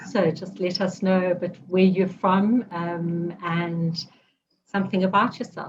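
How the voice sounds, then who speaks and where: Flat and monotone, a woman's somewhat breathy voice barely shifts in pitch. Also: medium pitch for a woman, fairly slow pace. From South Africa. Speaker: podcast host and women's circle facilitator. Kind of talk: interview conversation. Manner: hesitant, many ums.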